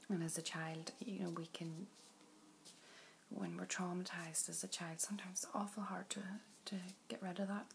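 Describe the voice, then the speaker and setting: Medium pitch and a gentle tone from a woman with a Northern Irish accent, with ordinary pitch variation and noticeable background noise. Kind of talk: ASMR doctor roleplay. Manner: soft-spoken, gentle, reassuring.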